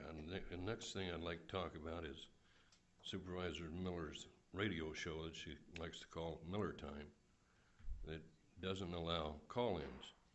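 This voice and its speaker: The speaker is soft-spoken, talking at a moderate pace with fairly even intonation and long, frequent pauses. Audible room echo is present. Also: man, very deep, low pitch for a man. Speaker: public commenter at county meeting. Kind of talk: public comment speech. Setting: public meeting hall.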